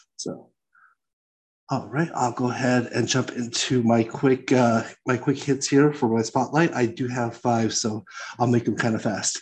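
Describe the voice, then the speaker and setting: An unremarkable speaking voice. It moves at a fairly slow pace with fairly even intonation. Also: man, medium pitch for a man. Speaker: podcast host. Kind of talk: casual podcast chat.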